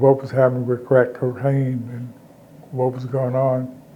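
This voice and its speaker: A man speaks with an American accent. Noticeable noise runs in the background. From Alabama. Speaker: military veteran, former mayor, community activist. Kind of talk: oral history interview answer.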